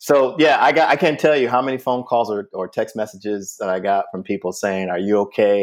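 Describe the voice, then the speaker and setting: Recorded very cleanly against a silent background, a man with a normal speaking voice talks at a fairly quick pace, his fairly low pitch showing ordinary variation. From US Northeast, Springfield, Massachusetts. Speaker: comedian. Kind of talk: casual chat.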